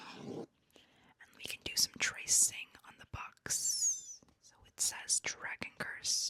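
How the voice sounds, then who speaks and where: Whispering at a very slow pace, a woman's loudness swings widely, and the sound is dry and close with no echo. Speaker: booktuber / book content creator. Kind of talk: whispered ASMR book haul.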